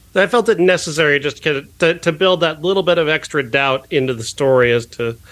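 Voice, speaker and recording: An unremarkable speaking voice moves at a moderate pace. Its pitch varies in an ordinary way. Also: man. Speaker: film critic. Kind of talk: casual chat.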